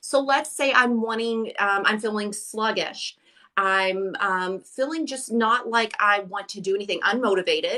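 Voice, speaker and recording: A bright, sharp tone carries this moderate-paced delivery with ordinary pitch variation. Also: woman, fairly high pitch for a woman. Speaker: crystal seller and crystal healing expert. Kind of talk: casual live-stream chat. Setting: live stream broadcast. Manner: animated.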